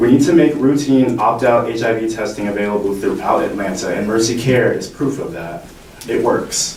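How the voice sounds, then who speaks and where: Amid audible room echo and noticeable background noise, a man speaks at a moderate pace and medium pitch with ordinary pitch variation. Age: 20s. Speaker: youth health activist. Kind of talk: public testimony. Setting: legislative hearing.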